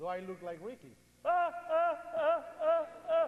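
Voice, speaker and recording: Over noticeable background noise, a man with an extremely high pitch speaks in an animated tone with lively intonation. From Puerto Rico. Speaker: 9/11 survivor and speaker. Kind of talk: public speech. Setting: church with audience and PA.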